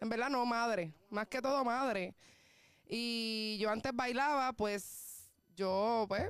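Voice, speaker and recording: Her fairly high voice moves at a very slow pace, and this woman keeps very even loudness and ordinary pitch variation. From Puerto Rico, south (Juana Díaz). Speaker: singer. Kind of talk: interview.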